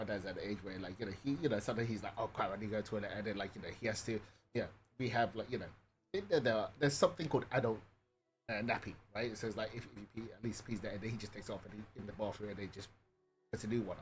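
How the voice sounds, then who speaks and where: A British-accented man speaks very fast in a medium pitch, animated and somewhat breathy, with ordinary pitch variation and big swings in loudness. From UK. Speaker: gaming streamer. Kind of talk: casual chat. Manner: halting.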